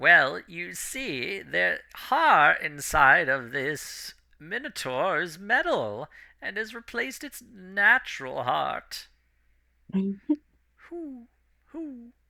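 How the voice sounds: A man puts on a character voice with a high pitch. He speaks at a very slow pace on a very clean recording with a silent background.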